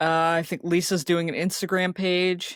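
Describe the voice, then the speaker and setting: This woman's voice is very deep and low, with an American accent and a moderate pace, sounding dry and close with no echo on a very clean recording with a silent background. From Ohio. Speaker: podcast co-host. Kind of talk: casual chat.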